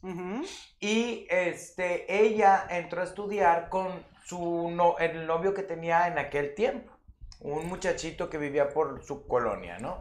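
A very slow delivery in a Mexican accent, with ordinary pitch variation. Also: man, high pitch for a man. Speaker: guest host, stage actor. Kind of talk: casual chat.

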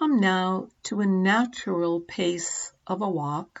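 A woman's medium-pitched voice carries a gentle, calm tone and lively intonation. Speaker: yoga and meditation teacher. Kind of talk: guided meditation. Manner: slow, calm, soothing pacing with long pauses; gentle, soft-spoken, instructive.

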